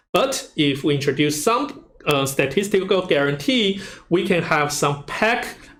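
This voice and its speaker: A man talks at a fairly slow pace with lively intonation, and audible room echo surrounds his voice. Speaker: university lecturer. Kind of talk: lecture. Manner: loud.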